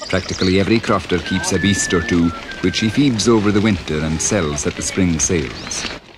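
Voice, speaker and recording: A man's very deep, low voice at a fairly quick pace, ordinary pitch variation, music in the background. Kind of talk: documentary narration.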